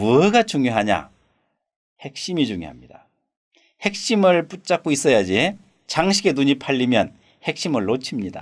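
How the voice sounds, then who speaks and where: Over a silent background in a very clean recording, a man talks at a fairly slow pace, leaving long, frequent pauses. His fairly high pitch moves in very wide swings. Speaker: saju astrology teacher. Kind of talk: lecture. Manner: rhetorical questions, conversational.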